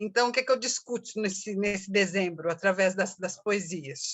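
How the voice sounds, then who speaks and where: A woman speaks with ordinary pitch variation. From Brazil, São Paulo. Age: 60s. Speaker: activist and poet. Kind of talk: interview. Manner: halting, many fillers.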